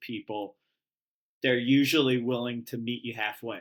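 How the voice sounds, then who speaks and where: A man talks at a moderate pace in a plain, everyday voice. The recording is very clean, with a silent background. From US South and Texas, moved around. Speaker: writer-director. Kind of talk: casual interview.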